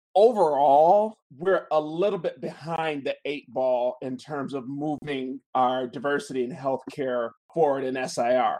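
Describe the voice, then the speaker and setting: This man has a fairly high pitch and a dark, mellow tone, speaking at a fairly slow pace with hardly any pauses. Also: ordinary pitch variation, quiet background. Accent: American. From Chicago, US Midwest. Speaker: interventional radiologist. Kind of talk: interview.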